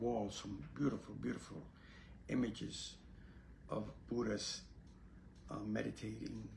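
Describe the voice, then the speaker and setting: Audible room echo surrounds a man's voice. He sounds somewhat breathy and talks at a fairly slow pace. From Puerto Rico, then New York City from age 8. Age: 80s+. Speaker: Zen Buddhist priest and teacher. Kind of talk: casual spiritual talk to camera. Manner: halting, with many fillers.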